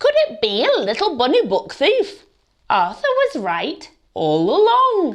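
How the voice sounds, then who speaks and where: The pitch is extremely high. A woman is doing a put-on character voice. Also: fairly slow pace. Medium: read story. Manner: jovial, mock-official.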